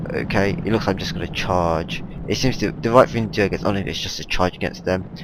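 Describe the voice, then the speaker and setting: Very deep and low in pitch, a man talks at a very fast pace with ordinary pitch variation. Noticeable background noise runs underneath. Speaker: gaming commentator. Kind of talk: game replay commentary. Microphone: headset microphone, poor definition, popping noises.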